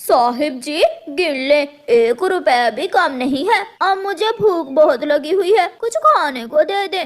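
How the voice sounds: High-pitched and cartoonish, this character voice moves at a moderate pace.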